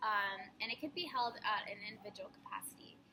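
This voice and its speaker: A woman speaks at a fairly quick pace with a fairly high pitch and ordinary pitch variation. Music plays in the background. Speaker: college student. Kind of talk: recorded class assignment. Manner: hesitant, many fillers; fast.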